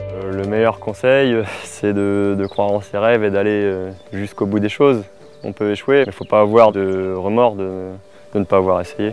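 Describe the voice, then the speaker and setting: This man's fairly low voice moves at a moderate speed with fairly even intonation, while noticeable background noise runs behind it. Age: 20s. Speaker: dairy farmer. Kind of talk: interview testimony. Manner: hesitant, frequent fillers.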